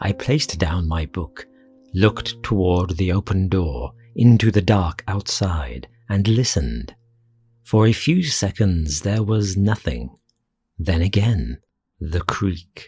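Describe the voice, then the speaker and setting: Using a put-on character voice, a man growls at a very deep, low pitch, speaking at a fairly slow pace with lively intonation. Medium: read story. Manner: sinister, deliberate.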